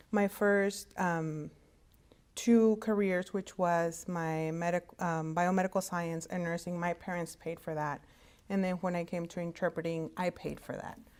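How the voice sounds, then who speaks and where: The woman's voice sits fairly low in pitch. She speaks at a moderate pace with fairly even intonation. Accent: Spanish. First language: Spanish. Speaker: hospital interpreting services director. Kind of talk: career talk to students. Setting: virtual conference. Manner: halting, many fillers.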